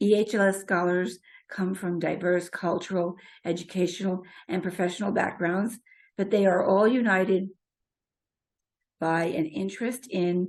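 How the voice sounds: A woman uses a hoarse, raspy put-on character voice at a medium pitch. She keeps a moderate pace and fairly even intonation over a quiet background.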